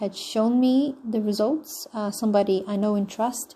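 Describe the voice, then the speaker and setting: A woman speaks in a dark, mellow tone. She is somewhat breathy and takes a fairly slow pace. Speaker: online money-making promoter. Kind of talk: sales pitch. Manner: low-energy, flat; hesitant, many fillers.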